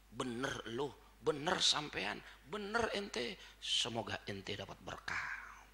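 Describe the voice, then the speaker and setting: Over noticeable background noise and audible room echo, a man speaks very slowly in a fairly high pitch, his voice making very wide pitch swings. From Jakarta, Tanah Abang (Betawi). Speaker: Islamic preacher. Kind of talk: religious lecture (sermon). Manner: informal, blunt street speech.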